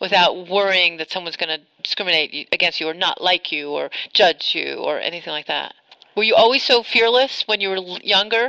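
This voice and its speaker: Here is an unremarkable speaking voice, a woman's at medium pitch with ordinary pitch variation. She moves at a fairly quick pace, and the sound is dry and close with no echo. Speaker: podcast interviewer. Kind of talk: interview.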